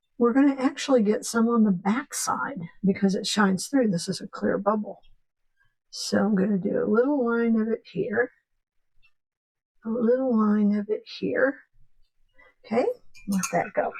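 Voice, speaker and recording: Her voice somewhat breathy and fairly high, a woman speaks at a fairly slow pace with ordinary pitch variation and long, frequent pauses. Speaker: painting instructor. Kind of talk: tutorial. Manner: casual.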